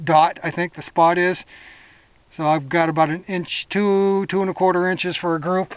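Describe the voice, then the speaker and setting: A man's high-pitched, monotone, flat voice at a moderate pace, in a dry sound with no echo against a quiet background. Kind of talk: casual vlog chat. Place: open country. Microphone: phone near.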